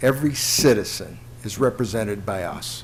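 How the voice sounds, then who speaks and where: With an American accent and ordinary pitch variation, a man talks at a fairly slow pace as music plays in the background. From Mount Clemens, Michigan, US. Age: 60s. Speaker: city commissioner. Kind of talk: public meeting remarks. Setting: city commission meeting.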